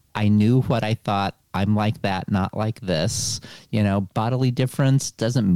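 With an American accent, the speaker uses a dark, mellow tone at a moderate pace in a dry, close sound with no echo. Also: man. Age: 60s. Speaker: historian and retired gender studies professor. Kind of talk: interview. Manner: hesitant, many fillers.

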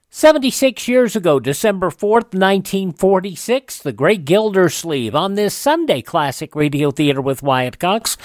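A man's high-pitched voice with lively intonation at a moderate pace

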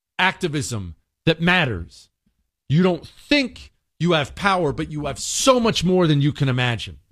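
On a very clean recording with a silent background, a man speaks at a fairly slow pace in a fairly high pitch. His intonation is lively and his tone animated. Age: 40s. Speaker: radio talk show host. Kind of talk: political talk radio monologue.

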